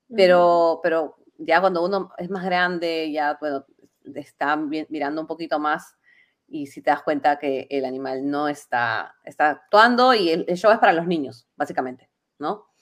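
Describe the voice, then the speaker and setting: A woman with a plain, everyday voice speaks at a fairly slow pace and a fairly low pitch. Her loudness swings widely while her pitch varies an ordinary amount. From Peru, Lima. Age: 30s. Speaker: delivery driver and podcast guest. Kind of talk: casual chat.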